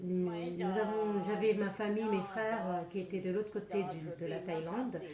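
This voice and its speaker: A woman speaks at a medium pitch with fairly even intonation. The room has audible echo, and noticeable background noise is present. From Laos (Hmong). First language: Hmong (speaking French). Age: 80s+. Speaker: refugee. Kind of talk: testimony. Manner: halting, many hesitations.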